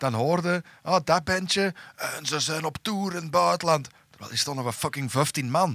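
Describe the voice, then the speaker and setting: A man's fairly high voice in a Flemish accent, with ordinary pitch variation at a moderate pace. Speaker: metal musician. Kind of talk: casual chat.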